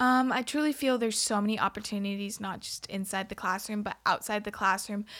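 With an American accent, a woman talks at a fairly quick pace with hardly any pauses. She has a normal speaking voice, a medium pitch and fairly even intonation. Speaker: college student. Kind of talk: casual interview.

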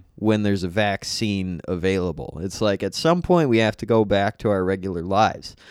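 With hardly any pauses, a man speaks at a fairly quick pace in a plain, everyday voice, fairly low in pitch with ordinary pitch variation, on a very clean recording with a silent background. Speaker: comedian. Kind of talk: casual chat.

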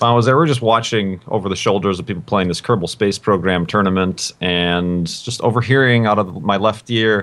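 With an unremarkable speaking voice, a man talks at a fairly quick pace with hardly any pauses, his fairly low pitch showing ordinary variation. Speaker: podcast guest. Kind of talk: casual chat.

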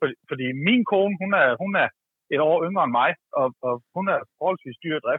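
This man's voice is high-pitched, with lively intonation. He keeps a moderate pace broken by long, frequent pauses. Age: 40s. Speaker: caller. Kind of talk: casual chat.

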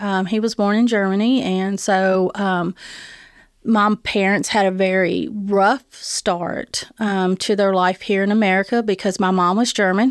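A woman speaks in a Southern US accent at a medium pitch and a fairly slow pace. Her intonation is fairly even and her loudness very even, on a very clean recording with a silent background. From Tennessee, East Nashville. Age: 50s. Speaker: food bank director. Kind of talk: interview, personal testimony. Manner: halting.

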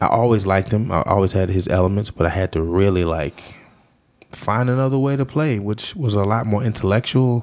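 Man with an American accent and a plain, everyday voice, fairly low in pitch, at a fairly quick pace with very even loudness and ordinary pitch variation. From Washington, D.C. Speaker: jazz saxophonist and educator. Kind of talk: casual interview.

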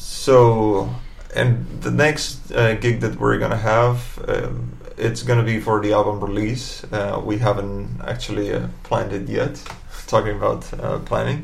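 Against noticeable background noise, the words come at a fairly slow pace. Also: man. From Barcelona, Spain. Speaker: guitarist in a band. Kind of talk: casual chat.

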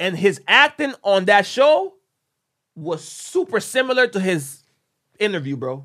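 A man's bright, sharp, raised and projected voice, high in pitch, with an animated tone, very wide pitch swings, a fairly slow pace and long, frequent pauses. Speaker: podcast host. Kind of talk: casual chat.

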